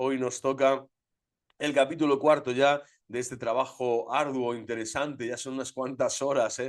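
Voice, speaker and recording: A man talks in an animated tone at a medium pitch. The background is quiet. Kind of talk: lecture. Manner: fast.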